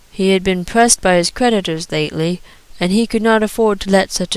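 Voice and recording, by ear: Ordinary pitch variation marks this reading aloud in a natural voice.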